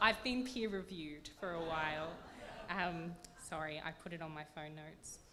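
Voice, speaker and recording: In an Australian accent, a woman with a fairly low pitch speaks at a moderate pace with ordinary pitch variation and big swings in loudness, and audible room echo. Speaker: literary prize judge. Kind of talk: award announcement panel talk. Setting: stage with audience, microphone.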